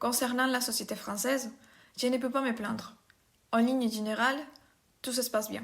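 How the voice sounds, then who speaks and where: A woman's high-pitched, monotone voice at a moderate pace, with long, frequent pauses. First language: not French (speaking French). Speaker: immigrant interviewee. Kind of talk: testimony.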